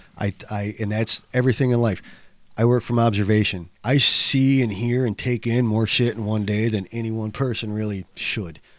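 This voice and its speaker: An unremarkable speaking voice belongs to this man, who holds a medium pitch and fairly even intonation at a moderate pace. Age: 40s. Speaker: abstract painter. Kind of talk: casual chat.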